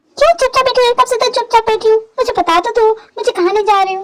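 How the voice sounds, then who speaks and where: Squeaky and extremely high, a woman's put-on character voice races along at a very fast pace. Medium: audio drama. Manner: defiant, argumentative.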